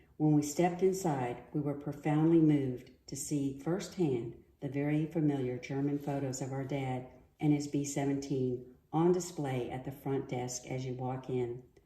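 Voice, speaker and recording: A woman with an American accent speaks at a very deep, low pitch in a dark, mellow, somewhat breathy tone. Her intonation is fairly even at a moderate pace, and the room echo is audible. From US. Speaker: daughter of a war veteran. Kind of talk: prepared reading.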